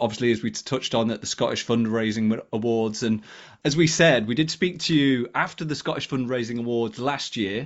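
This is a man with an unremarkable speaking voice. He talks at a fairly quick pace with ordinary pitch variation. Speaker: podcast co-host. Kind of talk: casual chat.

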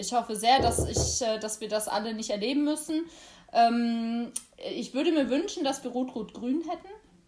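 Over noticeable background noise, a woman with a high voice speaks at a fairly slow pace, her pitch varying in an ordinary way. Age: 20s. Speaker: youth party chair and lawyer. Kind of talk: interview.

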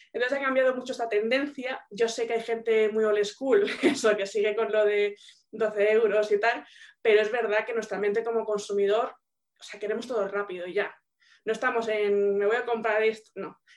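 Fairly high in pitch, a woman talks at a moderate pace with fairly even intonation. She has a normal speaking voice. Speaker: business mentor. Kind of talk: Q&A session. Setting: video call.

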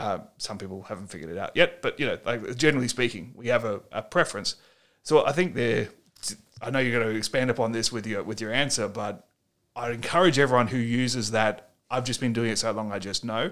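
Someone with an Australian accent talks at a fairly quick pace on a very clean recording with a silent background. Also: man, medium pitch for a man, ordinary pitch variation. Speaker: podcast host, former bouncer and violence management trainer. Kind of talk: interview podcast. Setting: hotel room.

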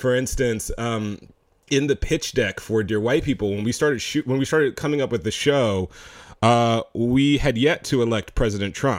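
On a very clean recording with a silent background, a man with an ordinary speaking voice talks at a moderate pace, medium in pitch with ordinary pitch variation. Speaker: filmmaker. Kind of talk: casual interview chat.

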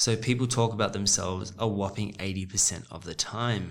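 A man speaks at a fairly quick pace with a fairly low pitch and an unremarkable speaking voice. His intonation stays fairly even. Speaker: guest. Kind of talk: casual chat.

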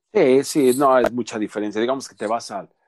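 The speaker uses a Mexican accent, lively intonation and a moderate pace. The sound is dry and close with no echo, over a quiet background. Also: man. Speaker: Mexican immigrant in Canada. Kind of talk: casual chat.

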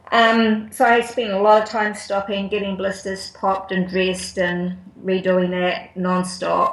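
The speech is fairly slow and flat in a monotone, with hardly any pauses. Audible room echo and noticeable background noise fill the recording. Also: woman, medium pitch for a woman. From New Zealand, Auckland and Wellington. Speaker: ultra runner. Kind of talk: casual interview. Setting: Skype call.

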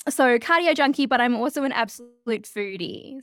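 A woman with an Australian accent and ordinary pitch variation. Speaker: change leadership consultant. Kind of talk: interview conversation. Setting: video call.

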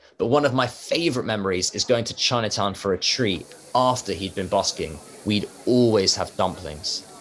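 A man talks at a moderate pace with a fairly low pitch and ordinary pitch variation, noticeable background noise running underneath. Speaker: vlogger and presenter. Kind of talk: scripted narration.

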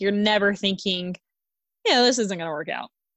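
A woman with a medium pitch and lively intonation speaks in a plain, everyday voice. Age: 30s. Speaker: podcast co-host. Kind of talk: casual chat.

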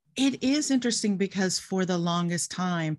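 Against a quiet background, a woman with a fairly low, somewhat breathy voice speaks at a moderate pace with lively intonation. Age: 60s. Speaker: guest sharing abortion story. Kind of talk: personal testimony in casual interview.

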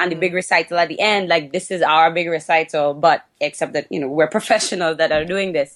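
At a fairly quick pace, a woman with a Trinidadian accent speaks in fairly even intonation. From Trinidad and Tobago. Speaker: podcast guest, dancer and fitness instructor. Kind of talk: casual conversational.

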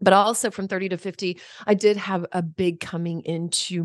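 Over a quiet background, a woman with an ordinary speaking voice and a fairly low pitch talks at a moderate pace with ordinary pitch variation, in a dry, close sound with no echo. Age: 50s. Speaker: podcaster and coach on aging. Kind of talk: casual interview conversation.

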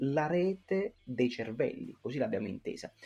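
At a moderate pace, the intonation stays lively. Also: man. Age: 20s. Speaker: youth association president. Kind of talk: interview. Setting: remote call. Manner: halting.

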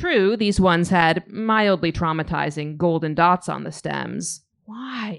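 With lively intonation, a woman speaks in a fairly low pitch. She has a normal speaking voice. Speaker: graphic memoirist. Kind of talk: reading aloud. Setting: stage with audience.

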